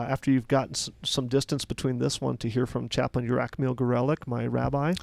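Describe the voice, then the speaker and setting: The sound is dry and close with no echo as a man speaks at a fairly quick pace in a medium pitch. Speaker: military chaplain. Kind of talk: casual chat. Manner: loud.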